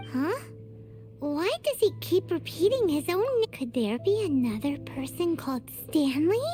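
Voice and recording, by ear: A cartoonish character voice goes at a moderate pace while music plays clearly in the background.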